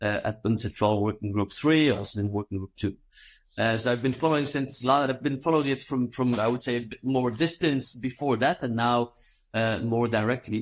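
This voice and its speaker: A very clean recording with a silent background: a man with a French accent, medium pitch, ordinary pitch variation and a moderate pace. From Belgium. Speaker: law professor. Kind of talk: interview. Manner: halting.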